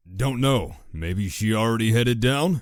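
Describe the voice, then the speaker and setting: A man puts on a character voice at medium pitch. His intonation is lively and his pace moderate. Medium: read story. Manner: dry, laid-back.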